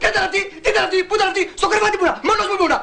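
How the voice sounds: Faint background noise sits behind a man's put-on character voice, extremely high in pitch, bright and sharp in tone, with vocal fry. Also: ordinary pitch variation.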